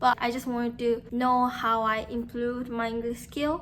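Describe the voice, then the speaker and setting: A woman talks in a Japanese accent at a high pitch. Her pace is fairly slow. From Japan, Nagasaki. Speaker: Japanese tutor and language YouTuber. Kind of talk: casual talk to camera. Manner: casual, filler-heavy.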